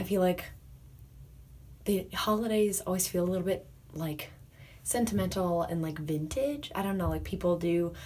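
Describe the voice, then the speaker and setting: Soft-spoken and somewhat breathy, a woman talks at a fairly low pitch in a dark, mellow tone, with audible room echo. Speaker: makeup artist, beauty vlogger. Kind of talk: makeup tutorial. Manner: less expressive than usual.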